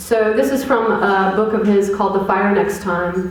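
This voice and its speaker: A woman speaks with fairly even intonation, her voice carrying audible room echo over noticeable background noise. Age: 40s. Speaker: poet and activist giving a talk. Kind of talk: public lecture. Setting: college lecture hall with audience. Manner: conversational with fillers.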